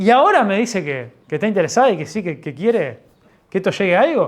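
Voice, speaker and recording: A man with a Uruguayan accent speaks at a very fast pace in a high pitch, with very wide pitch swings. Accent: Rioplatense Spanish (Uruguayan). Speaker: pastor. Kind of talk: sermon. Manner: halting, with many false starts.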